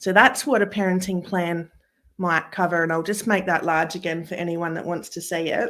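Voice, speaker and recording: In an Australian accent, a woman speaks at a fairly low pitch with fairly even intonation. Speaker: family lawyer. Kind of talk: webinar presentation. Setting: live webinar.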